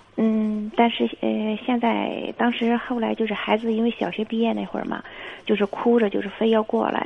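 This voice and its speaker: A woman's moderately paced speech is heard through noticeable background noise. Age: 40s. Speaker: caller. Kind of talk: phone-in confession.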